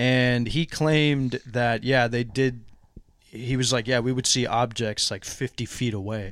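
A man speaks in a normal speaking voice at a medium pitch. His pace is fairly slow and his intonation fairly even. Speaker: podcast co-host. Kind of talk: casual chat. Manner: joking.

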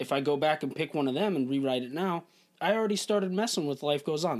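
A man with a fairly high pitch and ordinary pitch variation speaks in a plain, everyday voice. The recording is very clean with a silent background. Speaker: musician, former bandmate. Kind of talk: casual chat.

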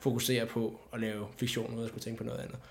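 A man talks at a fairly quick pace. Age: 20s. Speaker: filmmaker. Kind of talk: casual chat. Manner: halting.

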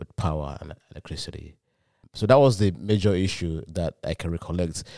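In a very clean recording with a silent background and a dry, close sound with no echo, the speaker has an American accent and a dark, mellow tone, going at a fairly quick pace with ordinary pitch variation. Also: man. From Nigeria (Lagos, Ekiti roots). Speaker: dental student and former lecturer. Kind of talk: interview.

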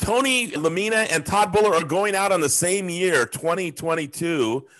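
In a quiet background, a man's speech rises and falls with lively intonation. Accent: American. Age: 50s. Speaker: podcast host. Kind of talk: casual chat.

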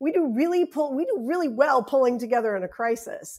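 Speaking with an American accent, a woman uses lively intonation. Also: very clean recording, silent background. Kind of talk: casual podcast chat.

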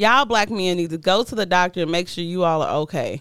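A woman with a medium pitch at a very fast pace. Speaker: podcast co-host. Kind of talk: casual chat.

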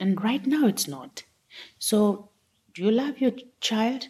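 A woman speaks very slowly in a somewhat breathy voice. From Papua New Guinea, Enga Province. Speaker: gender advocate. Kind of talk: interview. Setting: conference venue.

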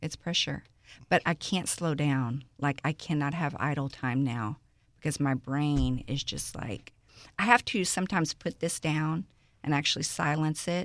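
A woman with a Texan accent speaks at a very deep, low pitch with ordinary pitch variation. The recording is very clean, with a silent background. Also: moderate pace. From Houston, Texas (Aldine, Greenspoint). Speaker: social media personality. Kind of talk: casual interview.

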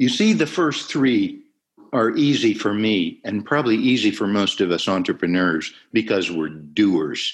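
A man with a plain, everyday voice speaks at a fairly low pitch and a fairly slow pace, with lively intonation. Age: 60s. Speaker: impact investor, company founder and chairman. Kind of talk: interview.

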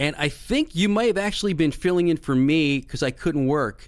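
In a very clean recording with a silent background, a man with an American accent and a plain, everyday voice speaks at a moderate pace, pitched fairly high with lively intonation. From Philadelphia area, Bucks County. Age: 50s. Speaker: podcast host. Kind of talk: casual chat.

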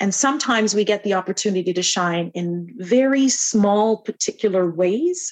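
With a Canadian accent, a woman uses an ordinary speaking voice at a medium pitch and ordinary pitch variation. She keeps a moderate pace with hardly any pauses. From Canada. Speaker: entrepreneur, founder of a women's network. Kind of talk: interview.

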